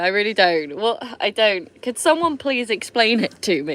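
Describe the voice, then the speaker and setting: A woman's fairly high, bright, sharp voice with vocal fry, an animated tone, very wide pitch swings and a moderate pace. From Somerset, England. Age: 30s. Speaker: vlogger. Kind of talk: casual chat. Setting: livestream from camper van.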